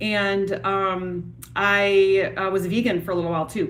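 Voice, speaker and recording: A woman's medium-pitched voice with a Wisconsin accent, plus audible room echo. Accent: Wisconsin accent, noticeable O vowels. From US Midwest, Wisconsin. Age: 40s. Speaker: yoga and fitness instructor. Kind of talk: live stream chat. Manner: casual, many fillers.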